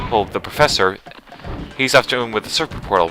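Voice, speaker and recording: Against music in the background, a man with an American accent talks at a very fast pace in a medium pitch with lively intonation. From US South, Atlanta, Georgia area. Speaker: video game let's player. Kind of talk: let's play commentary. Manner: casual, some stammering restarts.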